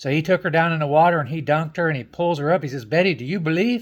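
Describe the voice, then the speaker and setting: Recorded very cleanly with a silent background, a man talks in a fairly high voice with a Southern US accent. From Tampa, Florida. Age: old. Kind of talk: joke telling, folksy storytelling to camera.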